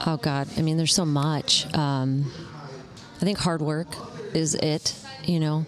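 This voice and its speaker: A woman with a very deep, low pitch speaks in an American accent, leaving long, frequent pauses over noticeable background noise. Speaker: realtor. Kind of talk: casual interview. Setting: coffee shop. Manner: animated.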